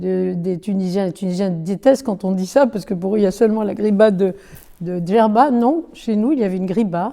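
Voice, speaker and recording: A woman talks at a fairly quick pace with a dark, mellow tone. Her pitch variation is ordinary. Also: medium pitch for a woman. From Algeria (Bône / Annaba). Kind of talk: oral history interview answer.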